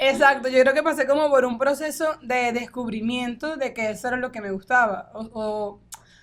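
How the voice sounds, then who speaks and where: A high-pitched woman's voice at a moderate pace, with hardly any pauses and big swings in loudness. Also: ordinary pitch variation. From Venezuela, Falcón. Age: 20s. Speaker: politician. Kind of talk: interview. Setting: studio.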